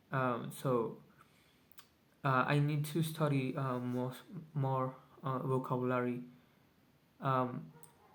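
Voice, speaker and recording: Very slowly, a man speaks with fairly even intonation. Audible room echo surrounds his voice. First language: Spanish. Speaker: vlogger. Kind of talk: casual video journal. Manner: halting, many fillers.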